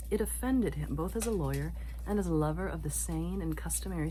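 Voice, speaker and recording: A soft-spoken woman whispering at a fairly quick pace, with noticeable background noise. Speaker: ASMR reader. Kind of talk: ASMR sleep-time book reading. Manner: soft-spoken, whispered.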